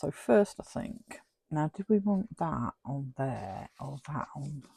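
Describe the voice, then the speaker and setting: A woman with a British accent, dry and close-miked with no echo. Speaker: crafting YouTuber. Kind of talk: casual craft tutorial chat.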